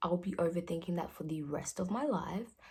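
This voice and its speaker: A woman at a fairly low pitch, somewhat breathy, with ordinary pitch variation and a moderate pace. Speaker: vlogger. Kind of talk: casual chat. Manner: halting.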